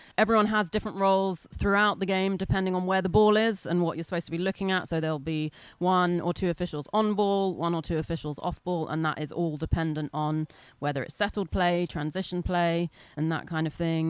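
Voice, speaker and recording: On a very clean recording with a silent background, a woman with an English accent speaks at a fairly quick pace in a fairly low pitch with fairly even intonation. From England, London. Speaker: lacrosse referee. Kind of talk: interview.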